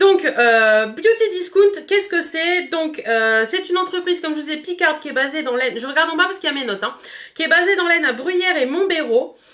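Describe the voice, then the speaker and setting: In a bright, sharp tone, the voice moves at a fairly quick pace with lively intonation. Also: woman, extremely high pitch for a woman. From northern France, Picardy. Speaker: beauty youtuber. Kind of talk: product review vlog. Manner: fast; hesitant, many fillers.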